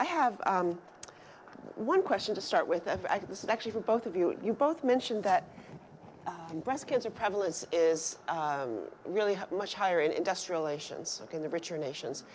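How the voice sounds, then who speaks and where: Over noticeable background noise, a woman at medium pitch speaks with very wide pitch swings. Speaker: event moderator. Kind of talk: Q&A moderation. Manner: fast; halting, many restarts.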